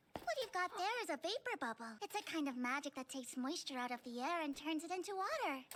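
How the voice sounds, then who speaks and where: A female-sounding cartoonish character voice, extremely high-pitched, rattles along at a very fast pace with hardly any pauses. Its tone is energetic and cheerful, with clear background noise behind it. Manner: energetic, cheerful.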